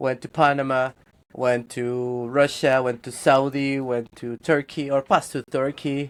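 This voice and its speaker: In a very clean recording with a silent background, a man with a Spanish accent speaks at a medium pitch and a fairly slow pace with a monotone, flat intonation. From Guatemala. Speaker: 3D character artist. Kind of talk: casual interview chat.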